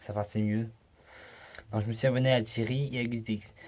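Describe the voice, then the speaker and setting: This man talks at a fairly slow pace with a fairly low pitch and fairly even intonation. The recording is very clean, the background silent. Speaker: youtuber. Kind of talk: casual vlog. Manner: halting.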